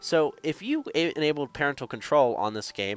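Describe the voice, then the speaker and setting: A man on a very clean recording with a silent background, dry and close with no echo. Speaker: gaming youtuber. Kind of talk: casual commentary. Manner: fast.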